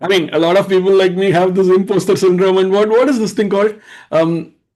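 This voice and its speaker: A man with an Indian accent speaks at a very fast pace with a high pitch. His intonation is fairly even and his loudness very even. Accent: Indian English, unchanged. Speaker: live stream host. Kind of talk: live stream panel discussion.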